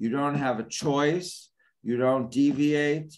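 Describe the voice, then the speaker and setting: A man talks at a fairly slow pace. Light background noise sits behind him. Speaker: rabbi teaching a class. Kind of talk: lecture. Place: home room. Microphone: video call.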